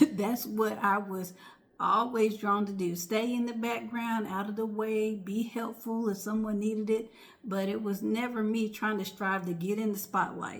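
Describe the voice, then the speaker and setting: There is audible room echo as a woman speaks at a moderate pace, her fairly high pitch carrying monotone, flat intonation. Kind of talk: casual vlog talk. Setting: home at night, others asleep. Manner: soft-spoken, near whisper.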